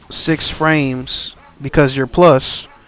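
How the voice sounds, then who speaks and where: The man talks in a fairly high voice with noticeable noise in the background. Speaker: gaming streamer. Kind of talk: gameplay commentary. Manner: stutters at times.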